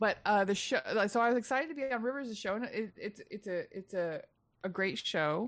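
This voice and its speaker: Talking at a fairly quick pace, a woman has an ordinary speaking voice with an American accent. Her pitch is fairly high, and her intonation is lively. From Texas. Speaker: comedian. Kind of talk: casual chat.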